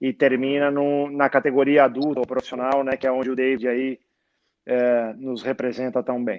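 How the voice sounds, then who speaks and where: A man talks at a moderate pace in a monotone, with flat intonation. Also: medium pitch for a man. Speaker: sports lawyer and law professor. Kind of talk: casual interview chat. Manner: hesitant, filler-heavy; soft-spoken, talking quietly.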